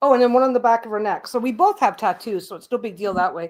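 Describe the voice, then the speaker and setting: On a very clean recording with a silent background, a woman with a normal speaking voice and a Canadian accent speaks at a fairly high pitch. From Canada. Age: 60s. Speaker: craft YouTuber. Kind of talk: casual livestream chat.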